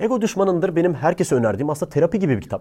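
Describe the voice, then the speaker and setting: Dark, mellow male voice with vocal fry. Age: 20s. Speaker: YouTuber giving book recommendations. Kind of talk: casual monologue to camera.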